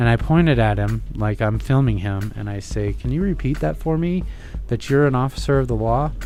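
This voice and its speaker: A man at a fairly quick pace, with audible room echo and music in the background. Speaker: medical marijuana patient. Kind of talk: personal story in radio interview.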